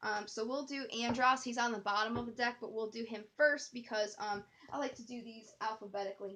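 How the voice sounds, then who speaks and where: A woman's plain, everyday voice, fairly high-pitched, with fairly even intonation. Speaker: tarot reader. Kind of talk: tarot reading. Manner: casual, filler-heavy.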